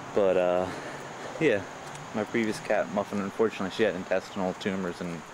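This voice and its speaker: A soft-spoken man with an American accent, fairly low pitch, fairly even intonation and a fairly quick pace, amid noticeable background noise. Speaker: vlogger filming a walk. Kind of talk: casual walking vlog monologue. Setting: outdoors on a bike path. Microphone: camcorder mic, voice recorded very quiet.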